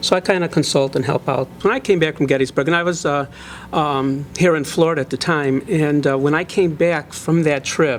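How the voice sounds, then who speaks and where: A fairly high-pitched man with an American accent at a moderate pace, fairly even in intonation, over noticeable background noise. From Chicago area, Illinois. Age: 60s. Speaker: local historian and author. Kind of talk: interview. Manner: hesitant, many fillers.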